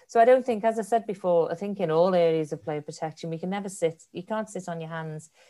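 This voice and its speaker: A woman's unremarkable speaking voice, fairly low in pitch and at a fairly quick pace, on a very clean recording with a silent background. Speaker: player protection manager, guest. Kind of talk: interview conversation.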